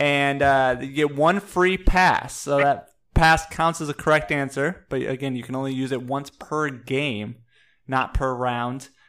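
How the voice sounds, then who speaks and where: At a fairly slow pace, a man with an ordinary speaking voice talks in a fairly high pitch with fairly even intonation. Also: very clean recording, silent background. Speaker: podcast co-host. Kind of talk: casual chat.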